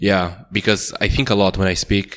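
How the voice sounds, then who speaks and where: A man with a Portuguese accent speaks in a very deep, low voice at a moderate pace. His intonation is monotone and flat, and the recording is very clean with a silent background. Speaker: podcast co-host. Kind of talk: casual chat.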